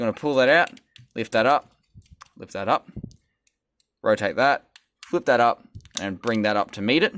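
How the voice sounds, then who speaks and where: With an Australian accent, a man talks at a moderate pace, his pitch swinging very widely. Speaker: toy reviewer. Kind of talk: product review and tutorial. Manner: casual, occasionally stumbling.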